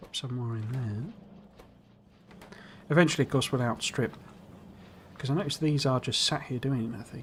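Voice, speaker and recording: This man has a British accent. His pitch is medium. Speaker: gaming streamer. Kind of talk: casual gameplay commentary.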